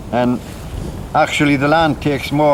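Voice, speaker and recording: The speaker talks at a moderate pace with a Northumbrian accent and fairly even intonation. Noticeable background noise runs under the voice. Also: man. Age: 70s. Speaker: farmer. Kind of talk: documentary interview.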